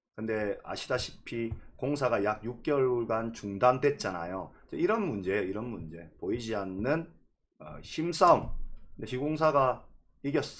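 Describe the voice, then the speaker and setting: Speaking in a Gyeongsang accent, a man at medium pitch goes at a fairly slow pace, with lively intonation and big swings in loudness. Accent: Korean regional dialect (Gyeongsang). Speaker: real estate YouTuber. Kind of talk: live-streamed lecture.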